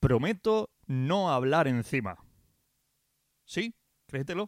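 A man speaks at a fairly slow pace with very wide pitch swings and an animated tone, the sound dry and close with no echo on a very clean recording over a silent background. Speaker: radio DJ. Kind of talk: radio show presenting.

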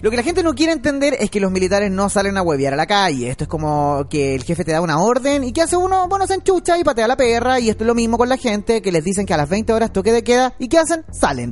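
Over noticeable background noise, a man with a Chilean accent and a high pitch talks at a very fast pace with hardly any pauses and very wide pitch swings. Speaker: radio co-host and board operator. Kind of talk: talk radio debate.

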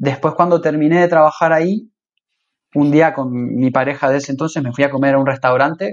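Using a Rioplatense accent, a man talks at a moderate pace with ordinary pitch variation. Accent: Argentine Spanish (rioplatense). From Argentina, Rosario. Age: 30s. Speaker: cook. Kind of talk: casual interview.

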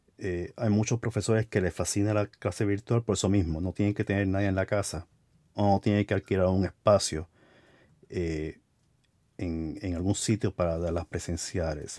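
A dark, mellow tone with fairly even intonation at a moderate pace, in a very clean recording with a silent background and a dry, close sound with no echo. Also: man, fairly low pitch for a man. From Americas, across the Atlantic from Spain. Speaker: podcast host. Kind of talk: casual interview. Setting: home closet studio.

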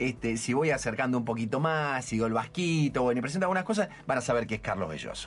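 With hardly any pauses, a man of medium pitch rattles along at a very fast pace with lively intonation. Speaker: radio host. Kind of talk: radio interview. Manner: halting, repeating words.

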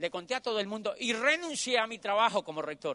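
A man's extremely high, raised and projected voice, bright and sharp in tone, animated, with very wide pitch swings, a moderate pace and a dry, close sound with no echo. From Colombia. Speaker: motivational speaker. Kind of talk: motivational talk. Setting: stage with audience.

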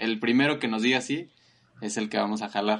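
With a Mexican accent, a man talks at medium pitch and a fairly quick pace. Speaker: podcast co-host. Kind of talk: casual chat.

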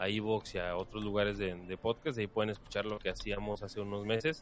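A man with an ordinary speaking voice, medium pitch and a moderate pace. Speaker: podcast co-host. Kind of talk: casual chat. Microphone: far from the mic at first.

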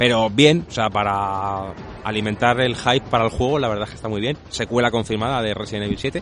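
At a fairly quick pace, an unremarkable speaking voice holds fairly even intonation. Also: man, medium pitch for a man. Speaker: video game podcast co-host. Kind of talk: casual chat.

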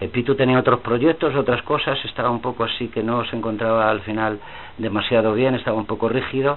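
Noticeable background noise sits behind this recording. A man speaks at a moderate pace. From Spain, Madrid (Carabanchel). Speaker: rock singer. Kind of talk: casual chat. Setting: office.

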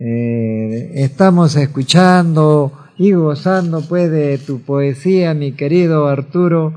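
A man speaks very slowly with lively intonation. His voice is fairly high yet dark and mellow in tone. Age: 80s+. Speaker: radio host. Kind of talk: radio show. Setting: studio.

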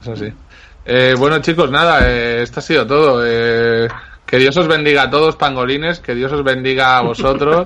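Against noticeable background noise, a man with a medium-pitched voice talks at a moderate pace with fairly even intonation. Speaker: podcast host. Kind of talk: casual chat.

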